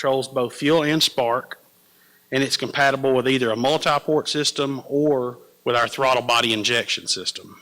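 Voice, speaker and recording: A man with an American accent, medium-pitched and bright, sharp in tone, at a moderate pace, with fairly even intonation and very even loudness. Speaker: sales manager presenting a product. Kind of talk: product presentation. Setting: trade education event with audience.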